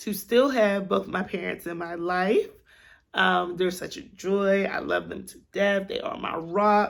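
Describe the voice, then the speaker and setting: Her tone is animated, with ordinary pitch variation. The woman, with an American accent, speaks at medium pitch. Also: very clean recording, silent background. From Pittsburgh, Pennsylvania, US. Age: 30s. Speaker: podcast host. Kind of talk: casual monologue.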